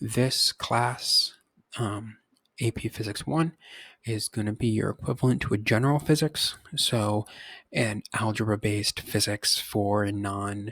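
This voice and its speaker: A man speaks at a fairly low pitch and a fairly slow pace. The recording is very clean with a silent background and a dry, close sound with no echo. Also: ordinary pitch variation. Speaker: high school physics teacher. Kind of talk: recorded course overview. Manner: halting, many fillers.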